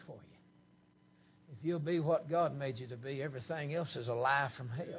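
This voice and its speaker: With a Southern US accent, a man speaks in a fairly high, somewhat breathy voice with ordinary pitch variation, and audible room echo surrounds him. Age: 50s. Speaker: preacher. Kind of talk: camp meeting sermon, Pentecostal holiness style, with banter at the congregation. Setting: church camp meeting with congregation. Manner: animated, joking crowd interplay with laughter.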